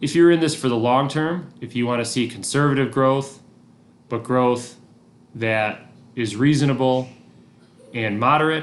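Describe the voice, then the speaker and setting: With audible room echo, a man speaks at medium pitch and a moderate pace, leaving long, frequent pauses. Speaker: teacher. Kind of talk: recorded lesson. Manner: monotone.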